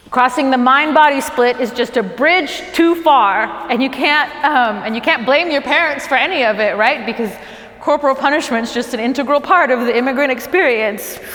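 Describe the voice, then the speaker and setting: A high-pitched woman at a moderate pace with ordinary pitch variation, over noticeable background noise. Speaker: stand-up comedian. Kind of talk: stand-up comedy special to a small crew.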